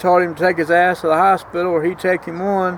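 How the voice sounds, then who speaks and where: Over noticeable background noise, a man with an American accent speaks at a high pitch in a monotone, flat intonation. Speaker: vlogger. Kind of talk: casual vlog monologue. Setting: outdoors.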